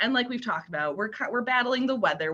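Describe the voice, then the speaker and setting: With a bright, sharp tone and an animated delivery, a woman talks at a fairly quick pace in a high pitch. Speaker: youth services librarian. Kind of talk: webinar presentation. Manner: fast.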